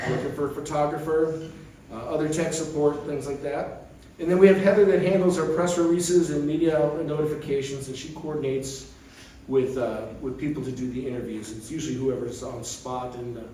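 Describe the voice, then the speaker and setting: With audible room echo and noticeable background noise, a man with a fairly high pitch talks in big swings of loudness. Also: ordinary pitch variation, fairly quick pace. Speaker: committee member giving update. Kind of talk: meeting presentation. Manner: fast.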